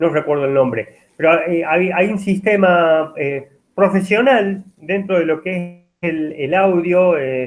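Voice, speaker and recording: A man with a high pitch and ordinary pitch variation speaks very slowly. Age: 50s. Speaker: university lecturer. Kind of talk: lecture. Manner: halting, many fillers.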